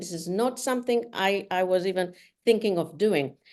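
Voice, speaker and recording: Speaking with a non-native accent, a woman uses medium pitch and lively intonation at a moderate pace. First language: not English. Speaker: solo traveler and author. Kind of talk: interview. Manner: halting.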